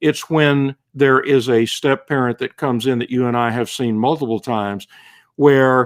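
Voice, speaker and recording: In a very clean recording with a silent background, dry and close with no echo, a man with an unremarkable speaking voice talks at medium pitch and a moderate pace, his intonation fairly even. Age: 60s. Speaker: author. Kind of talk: interview.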